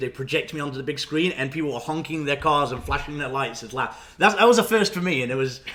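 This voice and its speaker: With noticeable background noise, a man with an English accent talks in a fairly high voice with lively intonation. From Nottingham, England, moved to Canada at 13. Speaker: stand-up comedian. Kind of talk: casual chat. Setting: podcast interview.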